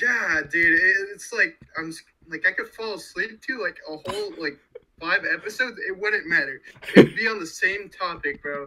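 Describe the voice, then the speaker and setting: In a raised, projected voice, a man speaks at a high pitch and a moderate pace, with lively intonation and big swings in loudness. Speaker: podcast co-host. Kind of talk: casual chat. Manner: animated.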